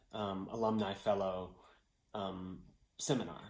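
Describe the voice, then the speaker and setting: A man speaks at a fairly slow pace. The background is quiet, but room echo is audible. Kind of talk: personal testimonial. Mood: warm, grateful. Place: home room. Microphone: phone near.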